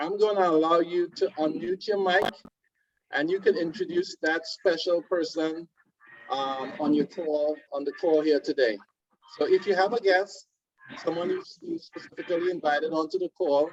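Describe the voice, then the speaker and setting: A man speaks in a high, warm voice with a Trinidadian accent and ordinary pitch variation. The sound is dry and close, with no echo. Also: moderate pace. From Trinidad and Tobago. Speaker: webinar host, card product presenter. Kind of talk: online webinar presentation. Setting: video conference call. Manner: warm, welcoming.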